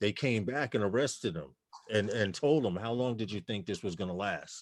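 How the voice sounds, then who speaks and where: The speaker has a slight New York accent and ordinary pitch variation. The pace is moderate. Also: man, fairly low pitch for a man. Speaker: livestream panel host. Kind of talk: casual chat.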